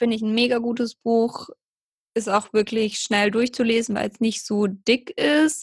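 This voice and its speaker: At a fairly slow pace, a woman with a normal speaking voice talks at a fairly high pitch with ordinary pitch variation. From southern Germany, near Heidelberg. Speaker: personal trainer and yoga teacher. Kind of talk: casual interview.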